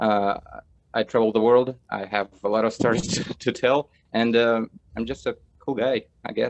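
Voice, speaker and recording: A man with a Russian accent, medium in pitch, fairly even in intonation, at a moderate pace with long, frequent pauses, in a dry, close sound with no echo. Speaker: film director. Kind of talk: casual chat.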